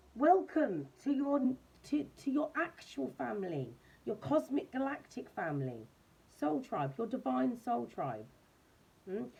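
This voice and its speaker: A woman speaks loudly at a fairly high pitch with vocal fry and a dark, mellow tone. Her pace is fairly slow, with long, frequent pauses and very wide pitch swings. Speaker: tarot reader. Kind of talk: tarot reading monologue. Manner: animated.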